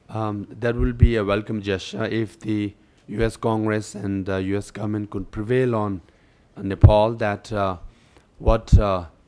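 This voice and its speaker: A man speaks at a moderate pace and fairly low pitch with monotone, flat intonation. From India, Darjeeling (Tibetan refugee camp). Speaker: Tibetan exile political leader. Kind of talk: testimony. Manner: formal.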